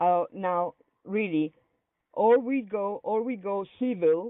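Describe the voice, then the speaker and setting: With an Italian accent, a woman talks, her pitch varying in an ordinary way. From Italy. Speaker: activist in a dispute. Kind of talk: heated debate. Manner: halting, hesitant.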